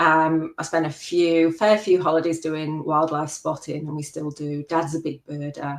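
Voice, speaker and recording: A woman speaks in a slight English Midlands accent at a very deep, low pitch. Her pace is fairly slow and her intonation is monotone and flat. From English Midlands, Worksop, Nottinghamshire. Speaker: macro photographer. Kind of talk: interview.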